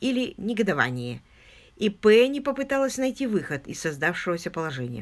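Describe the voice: Just plain reading aloud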